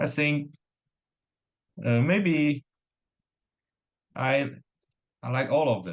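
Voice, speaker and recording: A man's fairly high voice at a very slow pace, with lively intonation, long, frequent pauses and a non-native accent. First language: not English. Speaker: competitive programmer. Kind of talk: casual interview. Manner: hesitant.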